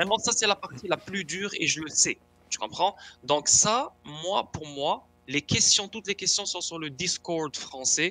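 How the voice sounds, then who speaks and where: A bright, sharp tone at a fairly slow pace, dry and close with no echo. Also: man, high pitch for a man. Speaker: crypto enthusiast. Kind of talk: tutorial.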